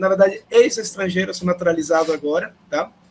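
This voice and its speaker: This man has a Spanish accent and a high pitch. He speaks at a moderate pace. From Peru. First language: Spanish (speaking Portuguese). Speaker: professor. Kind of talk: panel talk. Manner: hesitant, many fillers.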